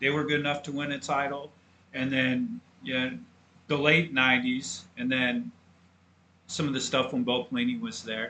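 A man talks at a moderate pace with a fairly high pitch and a bright, sharp tone. His intonation is lively, broken by long, frequent pauses. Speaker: podcast co-host, college football fan. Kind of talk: casual sports podcast chat.

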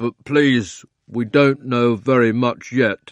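A man's put-on character voice at a medium pitch and a very slow pace

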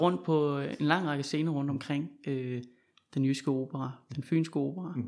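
In a very clean recording with a silent background, a man with a normal speaking voice talks at a fairly high pitch and a fairly slow pace, with ordinary pitch variation. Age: young. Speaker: podcast host. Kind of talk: interview conversation.

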